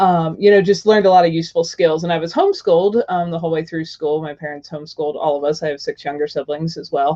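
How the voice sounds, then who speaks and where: Over music in the background, a woman speaks at a very fast pace with hardly any pauses. Her fairly low voice keeps a fairly even intonation. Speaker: tiny house video blogger. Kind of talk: interview.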